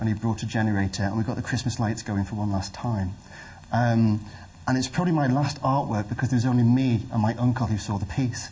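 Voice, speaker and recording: A man talks at a very fast pace in a somewhat breathy voice. His pitch sits in the medium range. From northwest England (Widnes). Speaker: gallery director. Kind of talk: talk to an audience. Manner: halting, many fillers.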